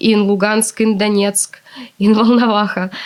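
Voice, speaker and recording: A woman speaks with a Russian accent. Her pitch is fairly high. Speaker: translator. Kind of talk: interview.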